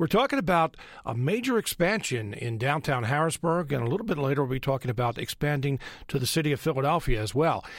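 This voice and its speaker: On a very clean recording with a silent background, a man with an unremarkable speaking voice and an American accent talks at a fairly quick pace and a fairly high pitch, with lively intonation. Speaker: radio host. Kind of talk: radio interview. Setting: studio.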